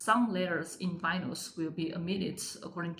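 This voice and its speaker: With a Chinese accent, a woman with a fairly low voice speaks at a moderate pace and fairly even intonation, amid audible room echo and noticeable background noise. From China, Sichuan province. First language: Mandarin Chinese. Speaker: Chinese language teacher. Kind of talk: tutorial. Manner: frequent fillers, hesitant.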